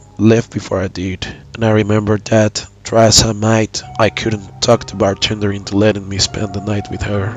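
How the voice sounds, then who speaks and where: A man's fairly low voice at a moderate pace, with ordinary pitch variation, big swings in loudness and music in the background. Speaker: horror story narrator. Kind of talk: horror story narration.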